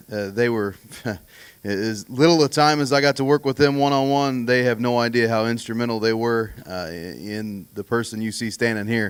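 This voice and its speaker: A man talks at a moderate pace in a plain, everyday voice, his medium pitch showing ordinary variation. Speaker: auctioneering graduate. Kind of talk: graduation thank-you speech.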